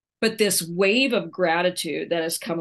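A woman with an American accent talks at a moderate pace in a fairly low pitch. An ordinary speaking voice, set against a quiet background. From Oklahoma, small town. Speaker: retired college basketball coach and author. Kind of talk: interview.

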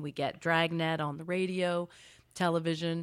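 On a very clean recording with a silent background, a woman with an unremarkable speaking voice talks at a moderate pace in a fairly low pitch. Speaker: literature professor. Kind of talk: interview answers about detective fiction.

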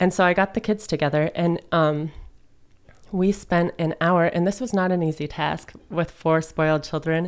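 A normal speaking voice from a woman, fairly low in pitch and fairly even in intonation, at a moderate pace in a very clean recording with a silent background. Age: 20s. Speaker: resale store owner and musician. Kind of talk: casual interview chat. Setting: studio.

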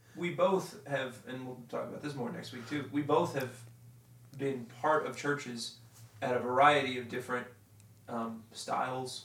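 At a moderate pace, a man talks at medium pitch with ordinary pitch variation. Noticeable background noise runs underneath. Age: 20s. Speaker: podcast co-host. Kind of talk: casual chat.

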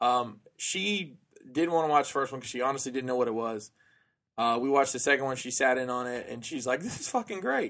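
On a very clean recording with a silent background, a man speaks at a medium pitch and a fairly quick pace. He has an unremarkable speaking voice with ordinary pitch variation. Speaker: podcast guest. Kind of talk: casual chat. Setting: studio.

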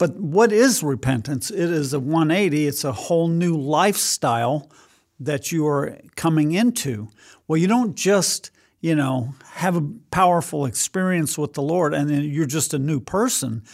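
Over a very clean recording with a silent background, a man speaks at a moderate pace in a normal speaking voice, fairly high in pitch and with lively intonation. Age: 60s. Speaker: pastor. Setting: studio.

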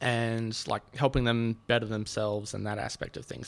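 Monotone and flat, the voice carries an Australian accent at a moderate pace. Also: man. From Sydney, Australia. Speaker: podcast guest. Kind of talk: casual chat. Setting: studio.

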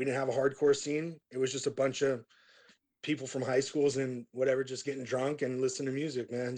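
A man at medium pitch talking at a very fast pace. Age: 30s. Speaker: metal band vocalist. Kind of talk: casual interview.

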